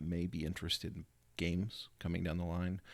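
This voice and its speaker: A quiet man with a very deep, low pitch, in a very clean recording over a silent background. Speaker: tabletop gaming YouTuber. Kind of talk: casual vlog. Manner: hesitant, many fillers.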